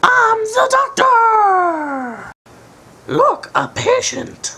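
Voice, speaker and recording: A cartoonish character voice at an extremely high pitch and a very slow pace. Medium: puppet.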